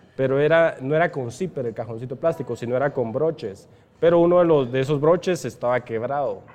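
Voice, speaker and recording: This man has a normal speaking voice, fairly high in pitch, moving at a fairly quick pace with ordinary pitch variation. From Guatemala, San Marcos (rural village). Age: 30s. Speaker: e-commerce entrepreneur. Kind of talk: interview. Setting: coffee shop.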